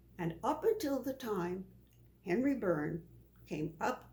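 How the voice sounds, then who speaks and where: A woman's somewhat breathy voice, dark and mellow in tone, with very wide pitch swings and a very slow pace. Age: 90s. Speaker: elderly voter interviewee. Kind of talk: interview.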